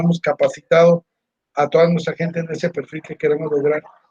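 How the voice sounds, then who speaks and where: A man talks at a very fast pace in a high pitch with a monotone, flat intonation. His tone is dark and mellow, and the sound is dry and close with no echo. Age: 60s. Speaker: university staff member. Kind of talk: interview.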